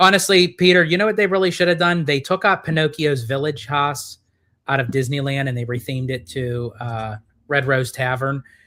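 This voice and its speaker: A man with an East Coast American accent, bright and sharp in tone, fairly quick, with ordinary pitch variation and a very clean recording over a silent background. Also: fairly high pitch for a man. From US East Coast.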